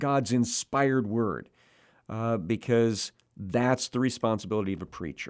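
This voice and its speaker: A man with an unremarkable speaking voice talks at a medium pitch and a fairly slow pace, with ordinary pitch variation. The recording is very clean, with a silent background. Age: 60s. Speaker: preacher. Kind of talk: sermon. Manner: frequent filler 'uh'.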